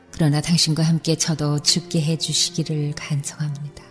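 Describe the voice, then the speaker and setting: The tone is calm and soothing. Music plays in the background. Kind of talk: prayer reading / devotional meditation narration. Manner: calm, soothing, soft-spoken.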